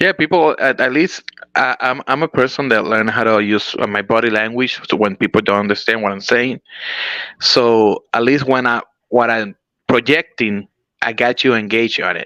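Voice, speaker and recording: In a Spanish accent, a man speaks at a medium pitch with a bright, sharp tone and ordinary pitch variation. His pace is moderate, and the sound is dry and close with no echo. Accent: very Spanish. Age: 40s. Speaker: pro wrestler. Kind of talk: interview. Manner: halting.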